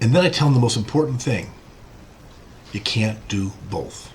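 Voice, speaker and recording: Lively in intonation, a man talks fairly quickly at a medium pitch. Noticeable background noise and audible room echo surround him. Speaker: physician lecturer. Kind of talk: lecture. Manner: fast.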